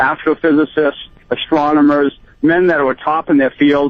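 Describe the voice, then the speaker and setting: Pitched fairly high, the man's voice comes through. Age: 60s. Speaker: caller. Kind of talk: call-in radio talk. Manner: halting, repetitive.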